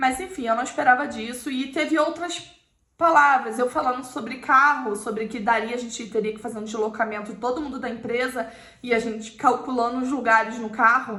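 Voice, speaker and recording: A woman with a Brazilian accent talks at a fairly quick pace in a high voice with ordinary pitch variation. Audible room echo and noticeable background noise fill the recording. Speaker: YouTuber. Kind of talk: personal storytelling to camera.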